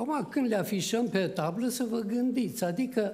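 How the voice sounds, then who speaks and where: A man speaks at a fairly slow pace with a dark, mellow tone and audible room echo. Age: 80s+. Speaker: preacher. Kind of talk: sermon. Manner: animated.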